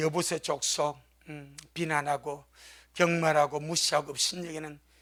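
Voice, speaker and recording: A man with a Busan accent and a fairly high pitch. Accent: Gyeongsang (Busan) dialect. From South Korea, Gyeongsang region (Busan). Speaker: pastor. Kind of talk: sermon.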